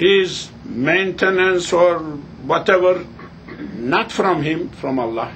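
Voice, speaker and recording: A man's high-pitched voice with a non-native accent, very slow pace and lively intonation, plus audible room echo and noticeable background noise. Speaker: religious teacher. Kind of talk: lecture. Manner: halting.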